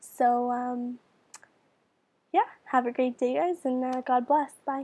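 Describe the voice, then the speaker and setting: A woman's high, dark, mellow voice at a very slow pace, with fairly even intonation. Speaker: beauty and piercing vlogger. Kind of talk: casual video tutorial. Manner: casual, with many fillers.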